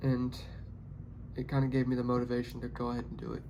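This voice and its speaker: A man with a Tennessee accent speaks at a very fast pace. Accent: Southern US (Tennessee). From Tennessee, Nashville area. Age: 20s. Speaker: pipeline x-ray worker and new YouTuber. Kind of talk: casual vlog monologue. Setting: hotel room. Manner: halting, with repeated words.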